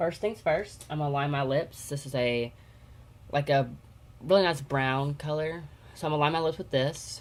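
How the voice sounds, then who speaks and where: Quiet, with long, frequent pauses, a woman speaks at a moderate pace. Her pitch is very deep and low, with ordinary variation. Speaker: beauty vlogger. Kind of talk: makeup tutorial.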